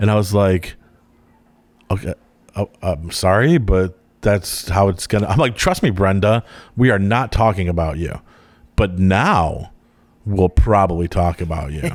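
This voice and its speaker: Fairly slow delivery with long, frequent pauses and ordinary pitch variation on a very clean recording with a silent background. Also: man, fairly low pitch for a man. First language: Croatian. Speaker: podcast guest. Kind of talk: casual interview chat.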